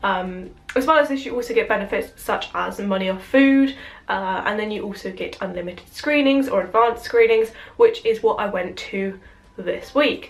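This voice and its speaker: Her fairly high-pitched voice, a woman's, shows ordinary pitch variation. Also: moderate pace. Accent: British. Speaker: YouTuber. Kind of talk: casual film review to camera.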